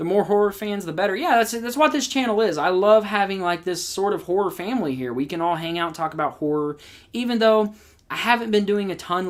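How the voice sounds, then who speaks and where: Words come out at a very fast pace on a very clean recording with a silent background. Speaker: horror movie youtuber. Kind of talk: livestream chat with viewers. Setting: live stream.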